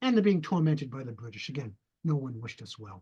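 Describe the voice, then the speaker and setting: With a New England accent, a man talks in very wide pitch swings. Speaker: retired history professor. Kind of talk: interview. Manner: halting.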